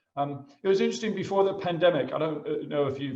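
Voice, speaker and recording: A man with an American accent talking very fast with ordinary pitch variation, amid noticeable background noise. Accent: American, noticeable to British listeners. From United States. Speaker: school headmaster. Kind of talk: presentation talk. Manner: halting, many fillers.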